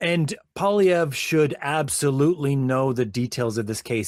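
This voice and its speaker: A man's fairly high, lively voice at a fairly slow pace, on a very clean recording with a silent background. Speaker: podcast host. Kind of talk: casual chat. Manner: animated; loud.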